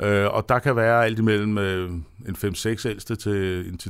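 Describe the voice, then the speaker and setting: A man speaks at a fairly low pitch, with fairly even intonation and hardly any pauses. The recording is very clean, with a silent background. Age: 50s. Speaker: chairman of atheist society, former Jehovah's Witness. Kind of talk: radio interview. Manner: halting.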